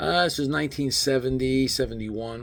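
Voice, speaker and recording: A man speaks with an American accent at a moderate pace. His voice is somewhat breathy, and the room has an audible echo. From New Jersey. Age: 70s. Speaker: barber and army veteran storyteller. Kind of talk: personal storytelling. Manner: casual, halting with fillers.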